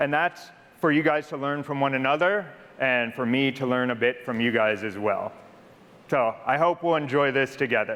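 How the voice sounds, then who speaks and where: With an American accent, a man speaks at a moderate pace in a fairly high voice with ordinary pitch variation. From United States. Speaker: corporate product leader. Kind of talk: conference presentation. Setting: stage with audience. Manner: casual, conversational.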